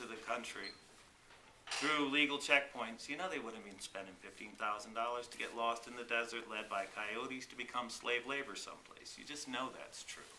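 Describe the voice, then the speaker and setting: A man with an American accent talks at a fairly quick pace and a medium pitch, his loudness swinging widely and his pitch varying in an ordinary way, over noticeable background noise with audible room echo. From South Texas border (Rio Grande Valley). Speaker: congressional candidate. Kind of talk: petition delivery testimony.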